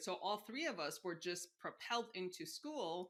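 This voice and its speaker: A woman with an American accent has an ordinary speaking voice. Her pitch is medium and her pace moderate. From Mexico City, Chicago and south Texas. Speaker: insurance executive and career strategist. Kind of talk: interview conversation. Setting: podcast interview.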